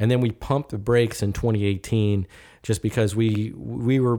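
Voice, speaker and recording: A man with an American accent speaks at a moderate pace in a fairly low voice with a dark, mellow tone. His intonation stays fairly even, and the recording is very clean with a silent background. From Richmond, Virginia, US. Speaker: gallery owner and art fair organizer. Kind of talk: casual podcast interview.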